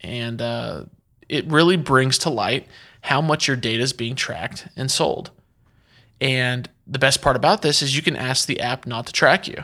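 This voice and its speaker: In a very clean recording on a silent background, a man with a bright, sharp tone, vocal fry and medium pitch speaks at a moderate pace with ordinary pitch variation. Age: 20s. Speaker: marketing podcast host. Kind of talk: solo podcast monologue. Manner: casual.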